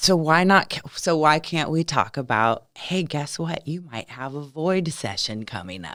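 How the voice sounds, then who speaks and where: Animated and American-accented, a woman speaks fairly slowly in a very deep, low voice, with big swings in loudness and hardly any pauses. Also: lively intonation. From California. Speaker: lifestyle coach. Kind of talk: podcast interview.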